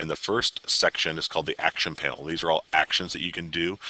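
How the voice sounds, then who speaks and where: Very deep and low in pitch yet bright and sharp in tone, a man speaks with fairly even intonation in a dry, close sound with no echo. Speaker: technology resource teacher. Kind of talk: tutorial. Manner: fast; halting, many fillers.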